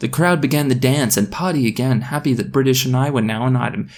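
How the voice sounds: The pitch moves with ordinary variation in this natural reading voice.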